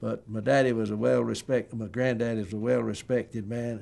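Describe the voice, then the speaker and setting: Talking at a fairly quick pace, a man speaks with an eastern North Carolina accent. His intonation is monotone and flat. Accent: Southern US, eastern North Carolina. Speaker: family history interviewee. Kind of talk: oral history interview.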